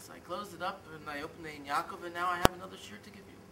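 A man speaks at a very fast pace over loud background noise. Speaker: religious teacher. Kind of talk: sermon. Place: open country.

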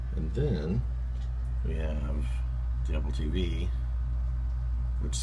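A man with an American accent and a very deep, low pitch talks over noticeable background noise. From Southern United States. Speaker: tech hobbyist. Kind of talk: casual tech tutorial. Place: home room. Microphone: phone near.

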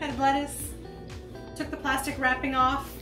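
A woman is speaking while clear music plays in the background. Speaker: cooking video host. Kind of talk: casual how-to talk to camera. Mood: playful, joking. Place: kitchen.

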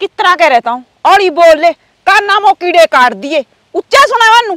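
A woman puts on a character voice at an extremely high pitch, bright and sharp in tone, with lively intonation and a fairly quick pace. The sound is dry and close, with no echo.

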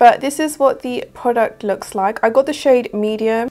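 A woman speaks with a southern English accent. Her pitch is fairly high, with ordinary pitch variation. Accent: British, southern English.

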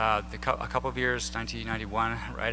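A man with an American accent speaks at a moderate pace over light background noise. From southern Illinois. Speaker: air force veteran and activist. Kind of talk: lecture. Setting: stage with audience. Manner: conversational. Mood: reflective, personal. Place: hall. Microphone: podium.

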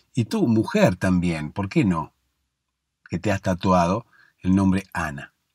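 A man with a very deep, low pitch speaks in a calm, soothing tone with ordinary pitch variation, in a dry, close sound with no echo. His pace is very slow, with long, frequent pauses. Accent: Rioplatense. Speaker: sleep podcast host. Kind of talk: bedtime story narration. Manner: slow, calm, soothing storytelling.

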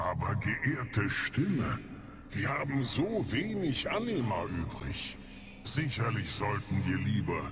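Over loud background noise, a man speaks at a fairly slow pace in a medium pitch. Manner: worried, deferential.

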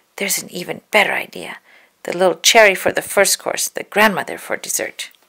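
A quiet background sits behind someone reading aloud in a natural voice.

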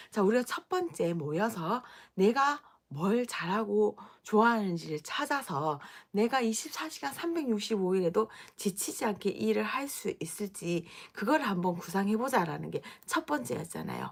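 A woman's medium-pitched voice in a Gyeongsang accent, with very wide pitch swings, at a moderate pace. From Gyeongsang region, Daegu. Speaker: business owner and coach. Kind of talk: live stream talk. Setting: at home.

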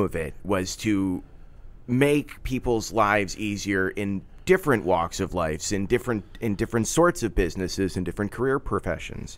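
With an American accent, a man in a plain, everyday voice talks at a moderate pace with a fairly low pitch and lively intonation. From Philadelphia area. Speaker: podcast producer and host. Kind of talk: interview. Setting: studio.

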